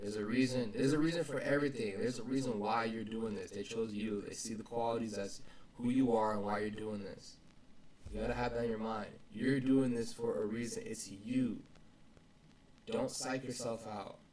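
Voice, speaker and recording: A man with a medium pitch talks at a fairly quick pace, and audible room echo surrounds his voice. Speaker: vlogger. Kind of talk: casual motivational vlog talk. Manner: halting, repeats words. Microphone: poor audio quality.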